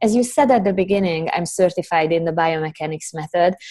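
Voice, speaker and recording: Against a quiet background, a woman with a non-native accent speaks at a medium pitch with a dark, mellow tone and ordinary pitch variation. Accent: foreign. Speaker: Pilates instructor and corrective exercise specialist. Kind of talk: interview.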